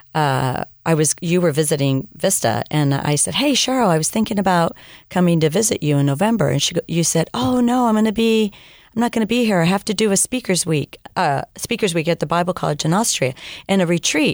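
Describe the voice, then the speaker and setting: A woman speaks at a fairly quick pace with a fairly low pitch and very even loudness, in an unremarkable speaking voice. The recording is very clean, with a silent background and a dry, close sound with no echo. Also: lively intonation. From California, Mexican-American family. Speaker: missionary and former teacher. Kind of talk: interview testimony. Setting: studio.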